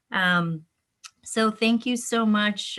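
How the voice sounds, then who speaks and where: The voice has a bright, sharp tone and moves at a very slow pace with fairly even intonation. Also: woman. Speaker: webinar host. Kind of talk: virtual event hosting. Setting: virtual webinar.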